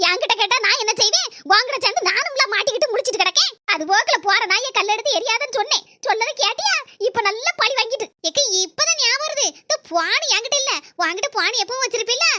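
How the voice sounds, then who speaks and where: A woman does a cartoonish character voice at an extremely high pitch, with lively intonation, very even loudness and a moderate pace, in dry, close sound with no echo. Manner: fast, scolding.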